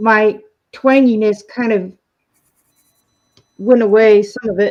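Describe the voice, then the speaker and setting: A woman speaks very slowly in a fairly high pitch, her intonation monotone and flat. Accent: American. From Texas. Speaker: colouring livestream participant. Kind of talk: casual chat.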